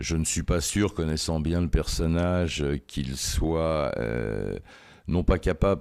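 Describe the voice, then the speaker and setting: A man with a very deep, low pitch at a very slow pace. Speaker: crime journalist. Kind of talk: interview. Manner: hesitant, many fillers.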